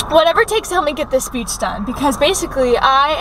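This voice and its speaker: A woman talks fairly quickly with lively intonation. The sound is dry with no echo, over light background noise. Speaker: vlogger. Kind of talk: casual vlog chat. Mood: upbeat, a bit stressed. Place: car. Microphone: phone near.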